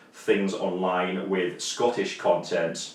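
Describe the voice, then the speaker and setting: Noticeable background noise sits behind a man with a very deep, low pitch. He speaks at a fairly slow pace. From northeast England. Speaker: YouTube vlogger. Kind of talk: casual chat.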